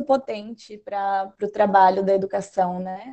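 A woman with a dark, mellow tone talks over a quiet background. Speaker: event moderator. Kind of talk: moderating online seminar. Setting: video call. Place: home room. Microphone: video call.

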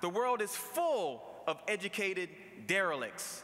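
Raising and projecting his voice, a man with an American accent speaks at a fairly slow pace in an animated, bright and sharp tone with high pitch and lively intonation. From Baltimore, US. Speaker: commencement speaker, lawyer and radio host. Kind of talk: commencement speech. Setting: stage with audience at graduation ceremony. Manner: animated, motivational, punchy with jokes and crowd-pleasing slang; conversational and humorous, laughing at his own anecdotes. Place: hall. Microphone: podium.

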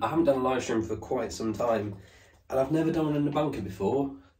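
A man talks very fast with lively intonation, with audible room echo behind him. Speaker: vlogger. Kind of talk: casual vlog chat.

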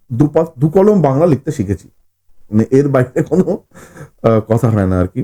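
Music plays in the background as a man speaks at a medium pitch with very wide pitch swings. The sound is dry and close, without echo. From West Bengal, Howrah (Shibpur). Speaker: horror fiction writer. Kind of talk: podcast interview.

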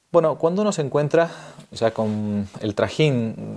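A man's speech, with ordinary pitch variation, sits over a quiet background. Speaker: priest presenting a book series. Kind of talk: spoken presentation to camera. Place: home room.

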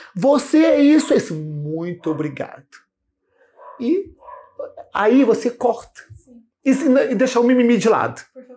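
A man with an extremely high pitch speaks at a fairly slow pace, his voice making very wide pitch swings and big jumps in loudness between long, frequent pauses. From Rio de Janeiro state coast, Brazil. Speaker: samba teacher and hairdresser; samba teacher. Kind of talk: casual interview. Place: shop. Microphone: lapel.

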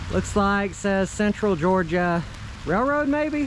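A man at a very slow pace, very wide pitch swings, noticeable background noise, and a dry sound with no echo. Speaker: exploration vlogger. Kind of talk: casual vlog chat. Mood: disappointed, a bit wistful. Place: rain. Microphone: phone near.

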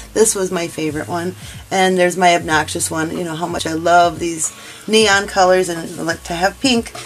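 A woman at a fairly quick pace over light background noise. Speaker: crochet instructor. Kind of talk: tutorial. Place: home room.

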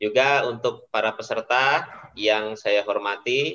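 A man with a fairly low pitch speaks in a bright, sharp tone with fairly even intonation. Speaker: teacher. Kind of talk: online webinar presentation. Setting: video call. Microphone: video call.

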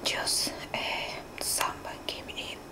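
Soft-spoken whispering comes at a very slow pace over noticeable background noise. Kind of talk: casual vlog chat. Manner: soft whisper, apologetic aside. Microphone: phone near.

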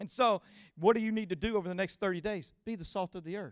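Quiet surroundings frame a man speaking at a fairly quick pace in a Louisiana accent. His pitch is high, with ordinary variation. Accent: Southern US, Louisiana. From US South, Louisiana (Cajun). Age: 40s. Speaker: guest preacher. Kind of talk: sermon. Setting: church with live audience. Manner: animated. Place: stage. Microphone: handheld.

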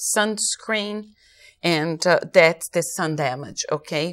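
A woman's fairly low-pitched voice at a very slow pace. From Brazil. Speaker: aesthetician; guest. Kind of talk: interview. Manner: hesitant, many fillers. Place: studio. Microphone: lapel.

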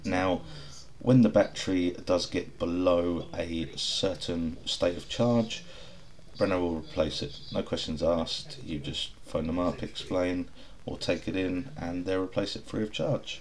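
In an English accent, a man speaks fairly slowly with a very deep, low, somewhat breathy voice and ordinary pitch variation over light background noise. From England. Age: 30s. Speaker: car reviewer. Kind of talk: voice-over review narration. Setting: recorded voice-over while watching video. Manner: casual. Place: street. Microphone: camera far.

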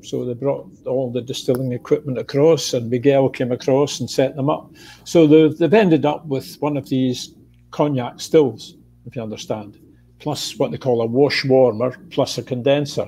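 A dark, mellow tone with a Scottish accent. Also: man, ordinary pitch variation, moderate pace. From Scotland. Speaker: retired whisky distiller; guest. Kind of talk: casual chat. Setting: video call. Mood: relaxed storytelling. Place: home room. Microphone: earbuds.

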